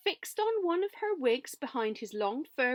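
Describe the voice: The clip is someone plainly reading aloud.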